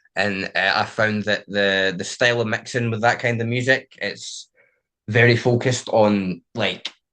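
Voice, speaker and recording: With a Scottish accent, a man speaks at a fairly slow pace and medium pitch, his tone bright and sharp and his intonation fairly even, over a quiet background. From Scotland. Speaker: DJ and music producer. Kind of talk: interview. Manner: casual, many fillers.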